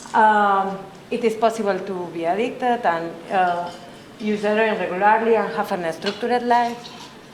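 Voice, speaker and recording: A woman speaks with a Spanish accent. Room echo is audible, and background noise is noticeable. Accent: Spanish accent, non-native English. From Colombia. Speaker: researcher, conference speaker. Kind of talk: conference presentation. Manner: halting, many fillers.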